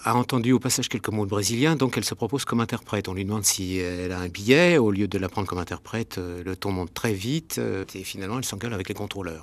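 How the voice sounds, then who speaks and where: This man talks at a very fast pace with lively intonation. The recording is very clean, with a silent background. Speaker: film director. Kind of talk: radio interview. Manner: hesitant, with many fillers.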